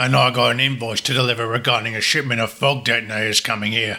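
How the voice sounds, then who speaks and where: A raspy, put-on character voice rattles along at a very fast pace with monotone, flat intonation. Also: man, medium pitch for a man. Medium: audio drama.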